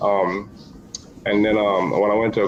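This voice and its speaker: There is audible room echo and noticeable background noise. A man with an American accent talks at a moderate pace. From Caribbean, US Virgin Islands (Saint Thomas). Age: 50s. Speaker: expat interviewee. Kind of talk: casual interview chat. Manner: halting, many fillers and repeats.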